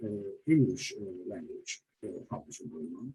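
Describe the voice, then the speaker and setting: Somewhat breathy and dark, mellow in tone, a man with a Turkish accent talks at a medium pitch and a moderate pace. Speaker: hospitality professor. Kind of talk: panel discussion. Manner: halting, many fillers.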